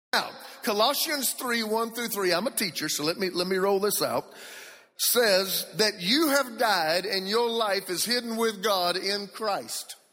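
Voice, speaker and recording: A man projects a raised voice at a high pitch. His pace is fairly slow, with ordinary pitch variation. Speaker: preacher. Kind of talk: sermon. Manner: animated.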